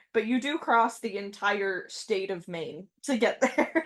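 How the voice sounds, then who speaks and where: A woman with a plain, everyday voice, fairly high in pitch and lively in intonation, on a very clean recording with a silent background. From French Canada. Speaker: podcast guest. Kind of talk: casual chat.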